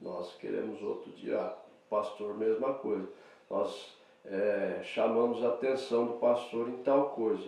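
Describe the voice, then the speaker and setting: Audible room echo surrounds a man's voice. He speaks at a fairly slow pace. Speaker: pastor. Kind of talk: sermon. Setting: church.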